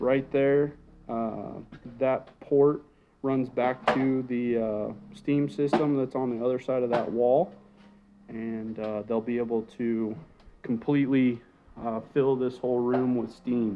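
A man speaks at a very slow pace, with long, frequent pauses and fairly even intonation. Noticeable background noise runs behind him. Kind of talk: casual walkthrough explanation. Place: bathroom.

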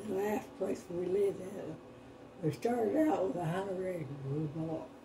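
A woman's medium-pitched voice in an American accent, lively intonation, noticeable background noise. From Iowa. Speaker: farm wife. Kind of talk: interview answer. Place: home room.

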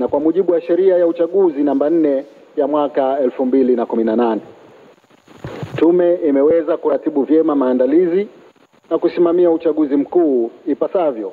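Loudness stays very even at a fairly slow pace. Pitch varies in an ordinary way. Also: man. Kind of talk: formal speech. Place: hall. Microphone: podium.

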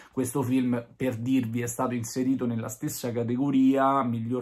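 A man speaks at a moderate pace. His intonation is monotone and flat. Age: 30s. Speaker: film reviewer. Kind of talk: video review monologue. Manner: hesitant, many fillers. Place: home room. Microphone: phone near.

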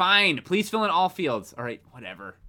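Lively intonation and a bright, sharp tone stand out against a quiet background. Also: man. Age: 20s. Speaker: gaming streamer. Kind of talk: live gameplay stream chat. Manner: animated. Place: home room.

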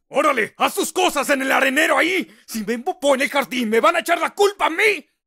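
A man puts on a character voice at an extremely high pitch, speaking at a fairly quick pace in an angry tone. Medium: dub. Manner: angry, shouting.

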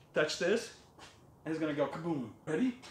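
Clear background noise under a man's voice, its pitch shifting in an ordinary way. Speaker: detailer vlogger. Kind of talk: casual vlog chat. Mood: playful, laughing. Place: garage. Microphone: phone near.

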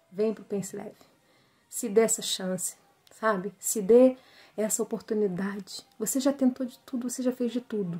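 A woman's somewhat breathy voice carries a dark, mellow tone at a moderate pace. Her intonation stays fairly even while her loudness swings widely. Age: 30s. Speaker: weight-loss program student. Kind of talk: testimonial. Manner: hesitant, many fillers.

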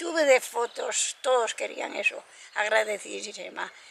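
Against light background noise, a woman speaks in a raised, projected voice. Her pace is fairly slow, and her pitch varies in an ordinary way. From Cantabria, Spain. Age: 80s+. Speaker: shepherdess. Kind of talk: interview answer. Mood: warm, emotional, proud. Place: open country.

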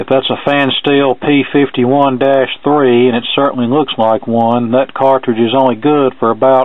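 At a moderate pace, the speech comes out in monotone, flat intonation with a dry sound and no echo. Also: man. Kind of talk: tutorial commentary. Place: workshop. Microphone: phone near.

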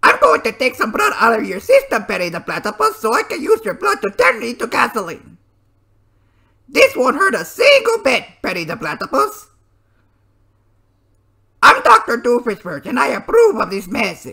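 A man's cartoonish character voice, extremely high in pitch, raised and projected, broken by long, frequent pauses. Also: moderate pace. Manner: theatrical, villainous.

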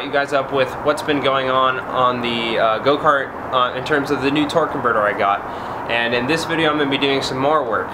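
Noticeable background noise under a man's moderately paced speech. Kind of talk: casual vlog chat. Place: garage.

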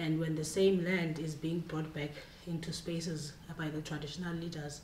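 A woman's very deep, low pitch and monotone, flat intonation, with audible room echo and light background noise. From South Africa. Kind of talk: panel discussion. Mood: earnest, advocacy tone. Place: meeting room. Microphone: camera far.

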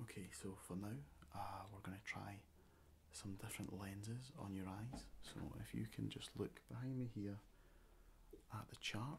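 Soft-spoken and somewhat breathy, a man with a fairly low pitch talks at a moderate pace with ordinary pitch variation and long, frequent pauses over light background noise. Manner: soft, close ASMR-style speaking. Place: home room.

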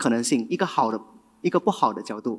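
Nothing can be heard behind this man's voice. His pitch swings very widely as he talks. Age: 20s. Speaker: event emcee and general manager. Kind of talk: event hosting. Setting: stage with audience. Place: stage. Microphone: handheld.

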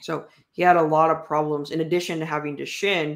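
Against a quiet background, a man speaks at a fairly high pitch. His intonation stays monotone and flat. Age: 20s. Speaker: nonprofit founder and author. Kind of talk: interview. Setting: video call livestream. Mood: calm, personal storytelling. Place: home room.

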